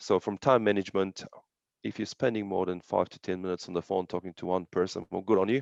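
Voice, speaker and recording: A very deep, low-pitched man with a non-native accent at a very fast pace, with fairly even intonation, big swings in loudness, a quiet background and a dry, close sound with no echo. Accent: non-native foreign. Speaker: real estate agent. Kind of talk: casual interview on video call. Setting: video call.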